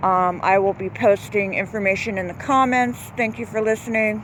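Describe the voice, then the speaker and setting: A woman talks in a medium pitch at a moderate pace. There is noticeable background noise. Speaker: local resident vlogger. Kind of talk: casual video commentary. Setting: outdoors by a pond. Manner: halting, many fillers.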